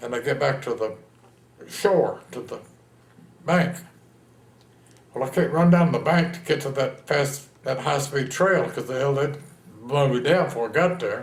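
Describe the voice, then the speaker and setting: A man with a Texan accent speaks at a moderate pace in a somewhat breathy voice, with ordinary pitch variation and audible room echo. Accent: Texan American. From Texas, San Antonio. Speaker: war veteran. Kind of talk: oral history interview. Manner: animated storytelling.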